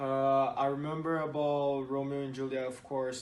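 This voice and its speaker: A man with a Portuguese accent talks over noticeable background noise, and his voice carries audible room echo. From Brazil. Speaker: student athlete. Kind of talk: student podcast interview. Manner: hesitant, many fillers.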